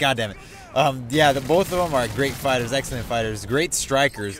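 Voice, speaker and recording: Sounding animated, a man with an American accent talks at a fairly quick pace and medium pitch, his intonation lively over noticeable background noise. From Mexican American, US. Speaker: gaming YouTuber. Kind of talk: casual vlog. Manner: loud, screaming.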